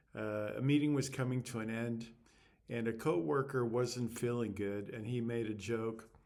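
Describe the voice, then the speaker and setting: A man speaks at a moderate pace with fairly even intonation and a medium pitch. He has a plain, everyday voice. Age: 60s. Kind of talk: casual talk to camera. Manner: reflective.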